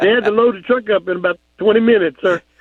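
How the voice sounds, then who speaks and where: This man talks at a fairly quick pace in an American accent. His voice is high-pitched, with ordinary pitch variation. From Texas. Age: 50s. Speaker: caller. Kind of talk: phone-in story.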